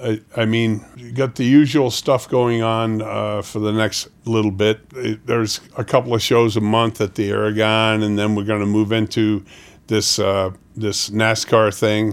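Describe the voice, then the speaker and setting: Fairly slow, flat monotone delivery in an American accent. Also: man, fairly low pitch for a man. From New York City. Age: 70s. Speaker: roadie and stagehand. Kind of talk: casual interview chat.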